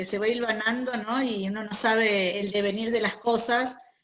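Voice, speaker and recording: A woman with a Buenos Aires accent and a fairly high pitch. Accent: Buenos Aires (porteño). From Argentina, Buenos Aires. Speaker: feminist peace activist and group facilitator. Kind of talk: interview.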